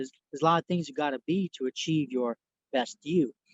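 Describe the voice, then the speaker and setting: A man speaks with a non-native accent and fairly even intonation. The sound is dry and close, with no echo. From New York. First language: not English. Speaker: inspirational speaker and entrepreneur. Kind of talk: interview.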